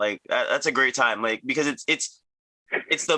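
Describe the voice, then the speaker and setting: This man has a fairly high pitch and a bright, sharp tone. He speaks with an American accent and lively intonation. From US, Virginia (Arlington). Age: 30s. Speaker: tricking athlete, podcast co-host. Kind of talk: casual chat.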